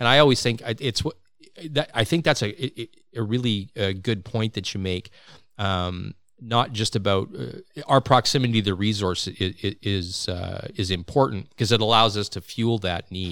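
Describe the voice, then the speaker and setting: A man with an ordinary speaking voice talks at a fairly low pitch and a moderate pace, with ordinary pitch variation. The recording is very clean, with a silent background. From Saskatchewan, Canada (Regina). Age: 50s. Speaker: podcast host, hunter. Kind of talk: casual chat. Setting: studio.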